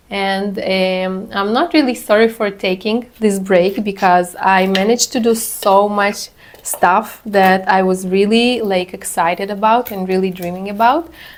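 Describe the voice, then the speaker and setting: Over noticeable background noise, a woman at medium pitch speaks at a fairly slow pace with ordinary pitch variation. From Israel (moved from Ukraine at 12). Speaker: plant care vlogger. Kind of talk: casual vlog chat with tutorial. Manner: relaxed, soothing; hesitant, many fillers.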